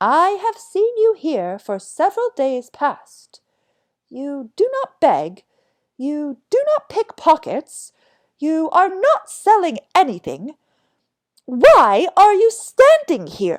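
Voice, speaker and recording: In a put-on character voice, a woman speaks squeaky and extremely high, raised and projected, very slowly, with very wide pitch swings. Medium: read story. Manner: jovial, matter-of-fact.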